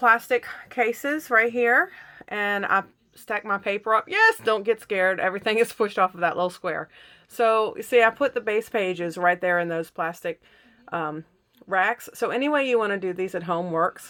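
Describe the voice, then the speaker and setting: A woman speaks at a moderate pace in a medium pitch with a bright, sharp tone, broken by long, frequent pauses. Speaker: scrapbooking instructor. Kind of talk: tutorial. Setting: home craft room.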